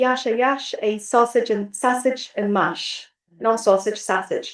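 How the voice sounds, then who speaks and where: Fairly even intonation runs through speech delivered at a very slow pace. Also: woman. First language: Bulgarian. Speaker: literature scholar. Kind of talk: academic roundtable discussion. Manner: hesitant, with many fillers.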